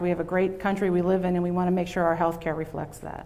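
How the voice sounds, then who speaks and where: A woman's medium-pitched voice with a Pennsylvania accent and fairly even intonation at a very fast pace, over noticeable background noise. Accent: Pennsylvania American. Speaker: health system director. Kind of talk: keynote presentation.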